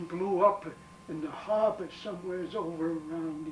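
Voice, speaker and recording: A man with an American accent, high-pitched, at a moderate pace with fairly even intonation, amid noticeable background noise. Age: 80s+. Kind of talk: interview answer. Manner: hesitant.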